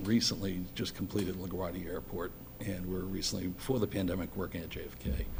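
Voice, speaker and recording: Speaking at a fairly quick pace, a man with a very deep, low voice is heard with audible room echo. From Boston, Massachusetts (Dorchester). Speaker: electrical engineer, school building committee chair. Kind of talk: public meeting self-introduction. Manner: halting.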